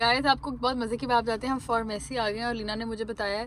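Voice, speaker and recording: A woman with a fairly high voice speaks at a fairly quick pace with fairly even intonation, against noticeable background noise. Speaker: vlogger. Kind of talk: casual vlog.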